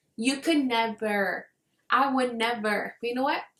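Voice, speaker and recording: A woman talks fairly slowly in a non-native accent. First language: not English. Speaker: book reviewer. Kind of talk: casual vlog chat. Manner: casual, filler-heavy.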